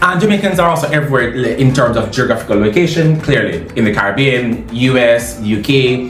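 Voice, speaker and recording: Over music in the background, a man at medium pitch talks at a fairly quick pace with hardly any pauses, lively intonation and very even loudness. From Jamaica. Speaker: language teacher. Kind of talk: casual talk to camera. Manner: fast.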